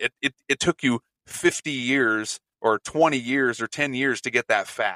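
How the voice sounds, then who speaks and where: A man speaks at a fairly slow pace with medium pitch, fairly even intonation and an ordinary speaking voice. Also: dry, close sound with no echo. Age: 30s. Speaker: former police officer, coach. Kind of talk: casual chat.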